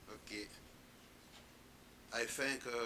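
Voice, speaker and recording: A bright, sharp-toned man with a non-native accent, in a room with audible echo. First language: French. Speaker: conference panelist. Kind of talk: conference panel talk. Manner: halting.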